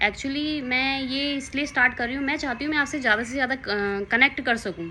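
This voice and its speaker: In a raised, projected voice, a woman speaks at a moderate pace with a high pitch, a bright, sharp tone and fairly even intonation. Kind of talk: casual talk to camera. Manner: slightly nervous, hesitant.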